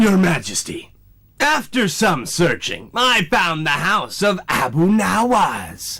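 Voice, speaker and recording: Putting on a cartoonish character voice, a man uses a high pitch, a raised, projected voice and very wide pitch swings. His tone is smug and pompous, and his pace is fairly slow. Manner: smug, pompous.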